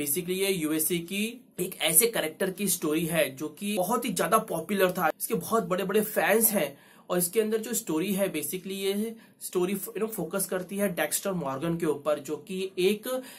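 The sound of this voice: The speech moves at a moderate pace with few pauses and ordinary pitch variation. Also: man, high pitch for a man.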